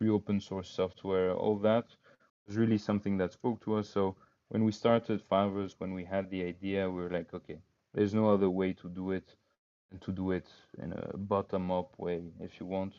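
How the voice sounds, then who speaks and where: A man with a non-native accent talks at a fairly low pitch in a monotone, flat way. His loudness swings widely. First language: not English. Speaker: crypto startup cofounder. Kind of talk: interview conversation. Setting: online call. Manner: hesitant, many fillers.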